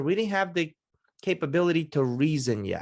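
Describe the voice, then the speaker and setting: Against a quiet background, a man with a Baltimore accent talks in an animated tone with lively intonation. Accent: American, Baltimore area. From Russia, then Baltimore suburbs from age ten. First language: Russian. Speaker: podcast host and success mentor. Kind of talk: podcast interview.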